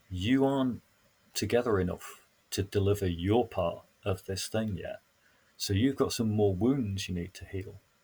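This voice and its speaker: On a very clean recording with a silent background, a man with a Yorkshire accent speaks at a moderate pace, his fairly low voice dark, mellow and somewhat breathy. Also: ordinary pitch variation. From northern England, Sheffield. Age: 60s. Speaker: council facilitator and trainer. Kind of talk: reflective conversation.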